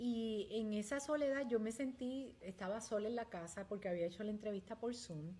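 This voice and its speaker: A woman's voice is heard. Its pitch rises and falls in an ordinary way. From Puerto Rico. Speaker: community leader. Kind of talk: interview testimony.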